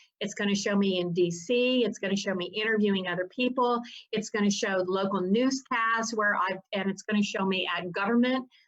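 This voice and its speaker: Speaking in a Southern US accent, a woman keeps a fairly quick pace with hardly any pauses, her medium-pitched voice held to fairly even intonation. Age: 60s. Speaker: attorney and family rights activist. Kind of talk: interview.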